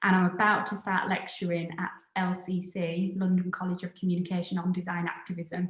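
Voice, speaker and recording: With a Yorkshire accent, a woman at a medium pitch talks at a fairly quick pace with hardly any pauses and a monotone, flat intonation. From northern England, Scarborough, Yorkshire. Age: 30s. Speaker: designer and creative studio founder. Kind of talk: live online talk.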